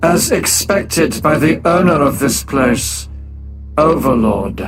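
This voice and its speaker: A man puts on a character voice, pitched fairly high and delivered at a fairly slow pace. Clear music plays in the background. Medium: audio drama. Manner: calm, clipped.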